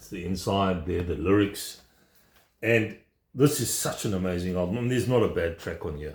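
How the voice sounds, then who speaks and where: A man's very deep, low voice, somewhat breathy, shows ordinary pitch variation and big swings in loudness. The recording is very clean, with a silent background. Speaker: vinyl record collector. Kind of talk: casual video vlog. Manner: fast; enthusiastic.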